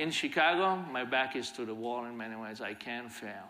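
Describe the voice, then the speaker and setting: In a bright, sharp tone, a man delivers his words at a moderate pace. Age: 50s. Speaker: violence prevention leader; conference speaker. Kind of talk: conference talk. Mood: earnest, reflective. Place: stage. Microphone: lapel.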